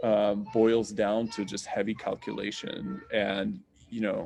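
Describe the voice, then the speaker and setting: A man with a slight Russian accent speaks at a fairly slow pace. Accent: slight Russian accent in American English. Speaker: astronomy professor. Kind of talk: Q&A answer in an online science talk. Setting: video call. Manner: casual, many fillers.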